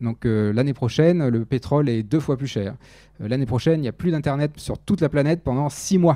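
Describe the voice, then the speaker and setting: On a very clean recording with a silent background, a dark, mellow voice moves at a fairly quick pace with ordinary pitch variation. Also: man, fairly high pitch for a man. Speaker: research biologist, conference speaker. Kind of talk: lecture. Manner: fast.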